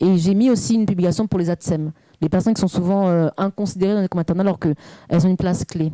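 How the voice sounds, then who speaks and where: Very fast and very even in loudness, a woman speaks at a medium pitch in a dark, mellow tone, the sound dry and close with no echo. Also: fairly even intonation. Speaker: parenting coach. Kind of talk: interview. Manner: fluent, at ease.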